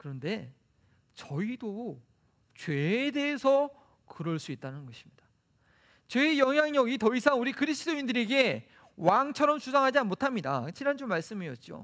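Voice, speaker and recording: Speaking at a moderate pace with long, frequent pauses, a man uses an extremely high pitch, very wide pitch swings and big swings in loudness on a very clean recording with a silent background. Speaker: pastor. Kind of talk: sermon.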